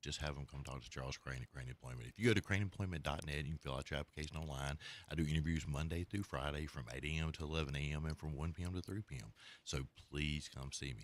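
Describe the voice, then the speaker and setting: A man speaks very fast in a very deep, low voice with vocal fry and ordinary pitch variation. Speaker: employment agency owner reading an ad.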